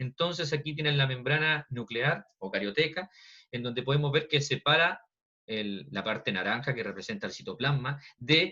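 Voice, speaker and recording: Ordinary pitch variation from a man with a bright, sharp tone. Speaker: biology teacher. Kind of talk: online lecture. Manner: fast.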